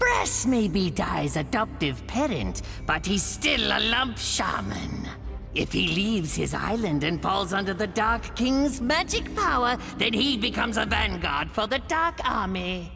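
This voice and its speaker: A cartoonish character voice moves at a moderate pace. Loud music plays in the background. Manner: gloating, mocking laughter.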